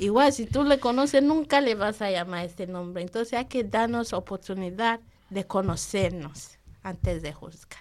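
A woman with a non-native accent talks at a moderate pace. Her intonation is lively, and her loudness swings widely. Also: medium pitch for a woman. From Nigeria. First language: not Spanish (speaking Spanish). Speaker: program participant, mother. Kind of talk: radio interview. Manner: halting.

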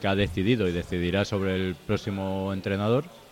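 A man with a normal speaking voice talks at a fairly quick pace in a fairly low pitch. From Bilbao, Basque Country. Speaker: book author. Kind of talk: casual chat. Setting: live show with audience in a bar.

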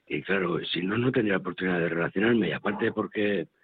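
This man's voice is very deep and low in pitch. He talks at a moderate pace with ordinary pitch variation. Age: 60s. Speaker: former soup kitchen user, now volunteer. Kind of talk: testimony. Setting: on location at a soup kitchen.

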